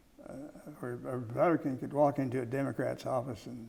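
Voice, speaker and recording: A man speaks with an American accent at a medium pitch and a moderate pace. His intonation stays fairly even, with vocal fry throughout. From Kansas, USA. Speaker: former journalist, press secretary and chief of staff. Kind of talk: oral history interview answer.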